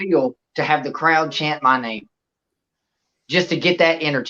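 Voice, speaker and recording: A man with a Southern US accent, fairly high in pitch, with ordinary pitch variation. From Louisiana. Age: 30s. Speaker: professional wrestler. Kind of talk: podcast interview. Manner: animated.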